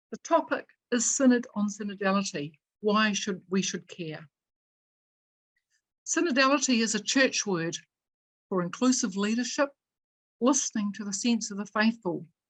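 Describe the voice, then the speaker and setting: A woman speaks with a New Zealand accent at a fairly high pitch. Her voice is somewhat breathy, with lively intonation. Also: moderate pace. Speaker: event moderator. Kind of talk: reading aloud; formal introduction. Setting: video call.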